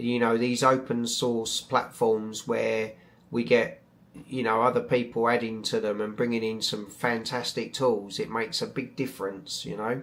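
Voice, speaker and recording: Monotone and flat in intonation, a man with a British accent talks at a medium pitch. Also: moderate pace. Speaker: astrophotography YouTuber. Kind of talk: live stream chat. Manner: hesitant, many fillers; mumbling.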